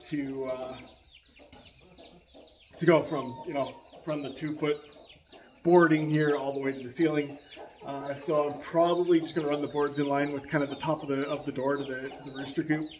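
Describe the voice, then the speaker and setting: Over noticeable background noise, a man speaks at a moderate pace in a monotone, flat intonation, with long, frequent pauses. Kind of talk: casual vlog chat. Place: farm machine. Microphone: earbuds.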